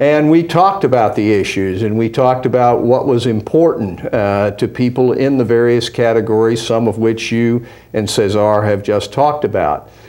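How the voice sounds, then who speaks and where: Over noticeable background noise, a man talks at a moderate pace with very even loudness and hardly any pauses. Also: medium pitch for a man, ordinary pitch variation. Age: 70s. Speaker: former politician and business advisor. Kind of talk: interview. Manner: hesitant with frequent fillers.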